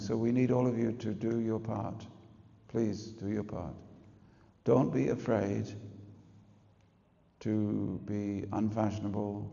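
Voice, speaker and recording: There is audible room echo around a man's voice. He speaks at a medium pitch with vocal fry. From England. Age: 60s. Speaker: spiritual teacher. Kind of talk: religious talk to an audience. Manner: animated.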